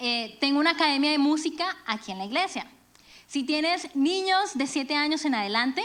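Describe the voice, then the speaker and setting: At a moderate pace, a woman speaks with a high pitch, a bright, sharp tone and lively intonation. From Venezuela and Colombia. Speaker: church speaker, music teacher. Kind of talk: sermon. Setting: church.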